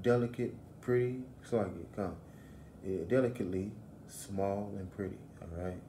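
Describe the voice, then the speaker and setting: This voice has a dark, mellow tone at a moderate pace, with ordinary pitch variation, long, frequent pauses, big swings in loudness and audible room echo. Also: man, fairly low pitch for a man. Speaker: religious teacher. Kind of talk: bible lesson.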